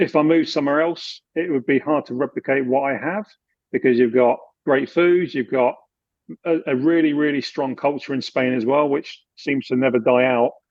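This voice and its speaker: In a British accent, a man speaks with fairly even intonation. His voice is fairly high and his pace is moderate. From England, UK with childhood in Germany. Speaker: expat finance adviser. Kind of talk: interview.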